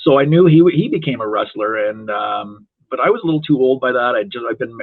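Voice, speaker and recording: A man with an Ontario accent talks at a fairly quick pace. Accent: Canadian (Ontario). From Toronto, Canada. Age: 60s. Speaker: wrestling referee. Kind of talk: podcast interview. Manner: halting.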